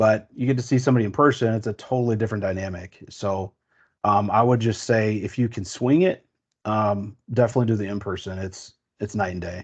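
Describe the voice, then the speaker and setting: Using a raspy, put-on character voice, a man talks at a fairly quick pace with a fairly low pitch and ordinary pitch variation. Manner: fast talking.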